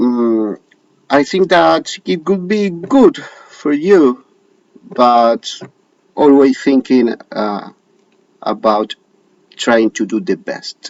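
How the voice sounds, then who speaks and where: Long, frequent pauses break up a man's very slow speech. His fairly high pitch swings very widely. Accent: Argentine. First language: Spanish. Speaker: show host. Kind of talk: casual direct-to-camera talk. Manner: halting, many hesitations.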